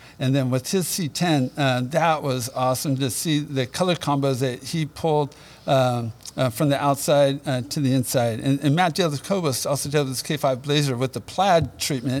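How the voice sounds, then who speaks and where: A man talks in a plain, everyday voice at a moderate pace. His pitch is fairly high and his intonation fairly even. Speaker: interior parts company representative. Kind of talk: casual chat. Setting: studio.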